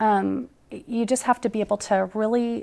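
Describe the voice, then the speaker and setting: In a very clean recording with a silent background, a woman speaks at a fairly high pitch. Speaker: 911 center director. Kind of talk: interview. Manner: fast.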